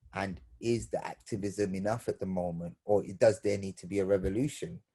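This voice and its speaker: A man's fairly low, dark, mellow voice, somewhat breathy, at a moderate pace. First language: Bengali. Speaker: theatre maker, panelist. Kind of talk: virtual panel discussion. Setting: video call. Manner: halting, many repeated words.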